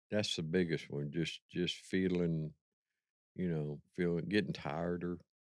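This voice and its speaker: A man's very deep, low voice, with fairly even intonation and a fairly slow pace. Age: 70s. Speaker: manual laborer. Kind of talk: casual chat.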